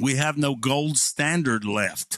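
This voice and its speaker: Against a quiet background, a man talks very slowly in a fairly high pitch with lively intonation, the sound dry with no echo. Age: 60s. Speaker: pastor and video creator. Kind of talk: sarcastic political monologue to camera. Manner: casual, hesitant with fillers. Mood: sarcastic, mocking. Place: home room. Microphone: studio mic.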